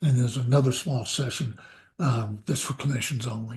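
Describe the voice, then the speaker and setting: At a moderate pace, a man speaks in a somewhat breathy, dark, mellow voice of medium pitch with ordinary pitch variation. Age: 70s. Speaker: psychiatrist. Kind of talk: interview.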